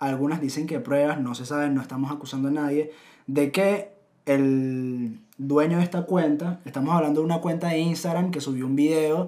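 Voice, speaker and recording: A man talks at a moderate pace with a fairly high pitch. It is an ordinary speaking voice with fairly even intonation. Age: 20s. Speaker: podcast co-host. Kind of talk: casual chat.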